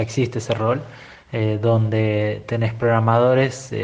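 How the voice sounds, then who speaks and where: A man speaks at a medium pitch. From Buenos Aires, Argentina. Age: 40s. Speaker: tech business owner, former sysadmin. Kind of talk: recorded opinion monologue. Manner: halting, many fillers.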